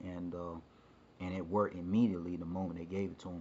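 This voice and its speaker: A man speaks at a very deep, low pitch with monotone, flat intonation. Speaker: storyteller. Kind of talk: personal storytelling. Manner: halting, many fillers.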